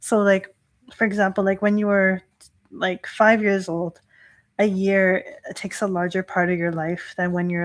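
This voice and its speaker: A woman with a Canadian accent talks at a fairly slow pace and medium pitch in a monotone, flat intonation, on a very clean recording with a silent background. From Canada, Toronto. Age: 30s. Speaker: Shinto priestess. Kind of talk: live stream talk. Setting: livestream. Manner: casual with many fillers.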